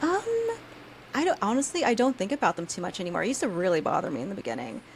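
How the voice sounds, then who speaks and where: Over noticeable background noise, a woman at medium pitch talks at a very fast pace with very wide pitch swings. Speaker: soap maker and YouTube creator. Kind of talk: casual interview chat. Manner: stutters, halting.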